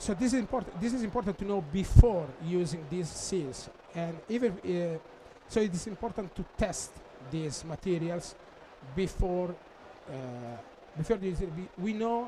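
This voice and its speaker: Speaking with a non-native accent, a man uses a high pitch and ordinary pitch variation at a moderate pace, with long, frequent pauses. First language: Italian. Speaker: applications engineer. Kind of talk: technical conference presentation. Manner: halting, many fillers.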